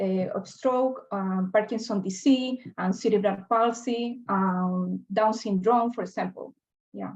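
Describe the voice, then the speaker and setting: A woman's fairly high, somewhat breathy voice in a Spanish accent, fairly slow and fairly even in intonation, over a quiet background. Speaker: health researcher. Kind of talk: Q&A answer. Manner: halting.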